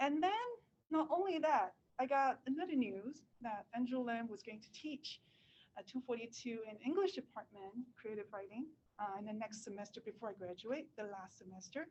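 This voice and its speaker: A woman with a Cantonese accent and a fairly high pitch speaks at a moderate pace, her intonation lively and her loudness swinging widely. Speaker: writer. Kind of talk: talk at a reading event. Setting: live reading event with webinar audience. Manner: hesitant, many fillers.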